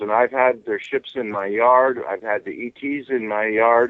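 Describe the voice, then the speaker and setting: A man's medium-pitched delivery keeps fairly even intonation in an ordinary speaking voice. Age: 60s. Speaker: UFO contactee. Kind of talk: casual chat.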